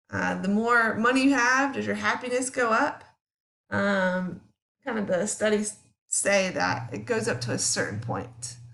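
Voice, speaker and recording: Room echo is clearly audible as a woman talks at a fairly slow pace. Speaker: psychology teacher. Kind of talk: recorded lecture. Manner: casual, with many fillers.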